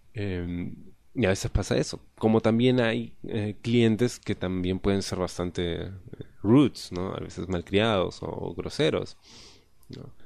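A man's fairly low voice, at a fairly slow pace, with ordinary pitch variation. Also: big swings in loudness. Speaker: podcast host. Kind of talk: casual monologue.

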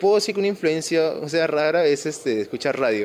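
A man's fairly high-pitched voice at a fairly quick pace, with noticeable background noise. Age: 20s. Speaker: comic shop owner. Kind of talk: casual interview.

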